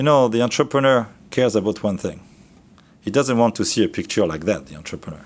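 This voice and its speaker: In a French accent, a man speaks at a moderate pace and medium pitch on a very clean recording with a silent background. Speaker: trainer. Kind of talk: training lecture. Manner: casual, conversational.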